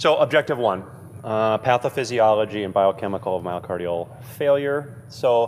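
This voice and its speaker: Here a man uses a normal speaking voice at medium pitch. His pace is moderate, with ordinary pitch variation. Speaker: cardiology lecturer. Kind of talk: lecture.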